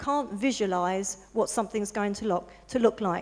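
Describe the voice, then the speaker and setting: Here a woman speaks with a southern English accent. Her pace is fairly quick, with ordinary pitch variation. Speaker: interior designer. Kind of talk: presentation to an audience. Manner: soft-spoken; halting.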